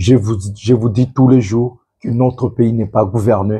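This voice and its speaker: Speaking at a fairly slow pace, a man uses a medium pitch, fairly even intonation and a dark, mellow tone that is somewhat breathy. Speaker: political commentator. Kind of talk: political commentary monologue. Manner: subdued, not forceful.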